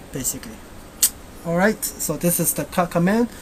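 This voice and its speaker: A woman with a fairly low voice speaks with ordinary pitch variation over noticeable background noise. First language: Chinese. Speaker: software tutorial maker. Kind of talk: screencast tutorial. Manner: halting, many fillers; casual.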